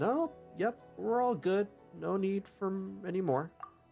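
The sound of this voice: Over clear music in the background, a man puts on a squeaky, high-pitched character voice, speaking at a fairly slow pace with lively intonation.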